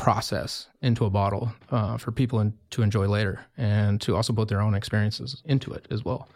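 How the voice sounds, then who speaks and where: Recorded very cleanly against a silent background, a man with an American accent and a plain, everyday voice speaks at a moderate pace, fairly low in pitch, with fairly even intonation. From US Mountain West (Wyoming). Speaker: winemaker. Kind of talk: interview.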